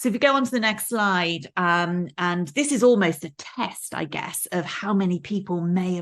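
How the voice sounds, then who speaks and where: With a slight Welsh accent, a woman talks at a moderate pace and a fairly low pitch, with ordinary pitch variation, hardly any pauses, and a quiet background. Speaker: professor. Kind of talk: lecture. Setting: video call. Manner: many fillers and repetitions.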